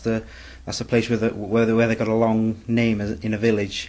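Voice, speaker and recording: In a North Welsh accent, a man speaks with a fairly low pitch. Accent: Bangor Welsh English. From Bangor, north Wales. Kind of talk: interview answer.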